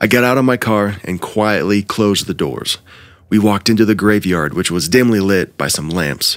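Ordinary pitch variation in plain reading aloud

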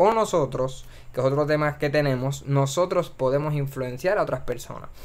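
This voice moves at a fairly quick pace with ordinary pitch variation. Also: man. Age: 20s. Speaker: podcast host. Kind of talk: solo monologue. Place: home room. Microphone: studio mic.

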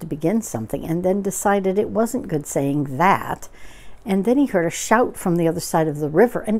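The speaker reads in a natural reading voice, with lively intonation.

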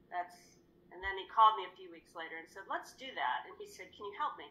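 Over light background noise, a woman's voice comes through with a bright, sharp tone. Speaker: guest. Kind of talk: interview answer. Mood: reflective, earnest. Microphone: video call.

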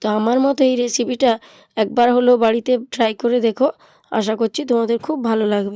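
A woman with a fairly high pitch and a dark, mellow tone speaks with fairly even intonation in a dry, close sound with no echo. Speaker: cooking channel host. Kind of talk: cooking tutorial.

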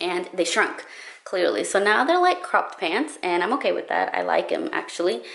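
In a quiet background, a woman's voice can be heard speaking. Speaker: style vlogger. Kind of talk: casual vlog chat. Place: home room. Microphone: phone near.

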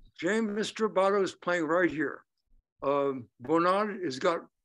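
With ordinary pitch variation, a man speaks at a high pitch and a fairly slow pace. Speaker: clarinetist and periodontist; guest. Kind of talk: interview. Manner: halting. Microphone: video call.

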